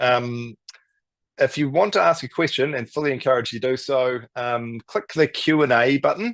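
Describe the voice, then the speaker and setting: A man with a New Zealand accent at medium pitch and with ordinary pitch variation, against a quiet background. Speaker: native tree restoration business founder. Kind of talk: webinar presentation. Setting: online webinar. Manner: fast; animated.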